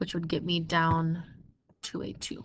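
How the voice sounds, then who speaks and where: Speaking at a fairly slow pace, a woman uses a fairly low pitch with vocal fry. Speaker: math teacher. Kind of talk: tutorial. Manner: casual, conversational.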